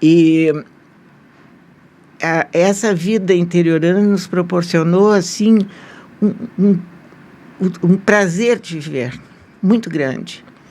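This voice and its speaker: A woman talks very slowly, pausing often and at length. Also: medium pitch for a woman, ordinary pitch variation. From southern Brazil, Santa Catarina (Nova Veneza). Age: 80s+. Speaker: retired journalist. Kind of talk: interview.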